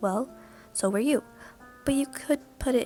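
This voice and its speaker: Over music in the background, a soft-spoken woman talks at a moderate pace in a high pitch, with a relaxed tone and ordinary pitch variation. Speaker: amateur reader practicing reading aloud. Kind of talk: casual amateur reading of a fanfic to the audience. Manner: soft-spoken, relaxed, with some stuttering.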